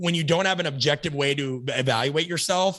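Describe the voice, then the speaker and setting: This man speaks with ordinary pitch variation. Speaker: strength coach, coaching educator. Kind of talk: podcast interview answer.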